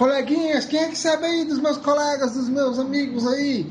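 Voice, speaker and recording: A man's extremely high-pitched voice with fairly even intonation at a moderate pace, amid audible room echo and noticeable background noise. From Brazil, Ceará. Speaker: podcast co-host. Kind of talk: casual chat.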